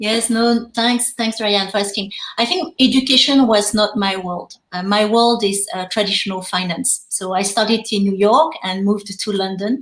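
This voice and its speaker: Hardly pausing, the speaker uses a French accent at a moderate pace with ordinary pitch variation over noticeable background noise. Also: woman, fairly high pitch for a woman. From France. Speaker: fintech education co-founder. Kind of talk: panel discussion. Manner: halting, many fillers.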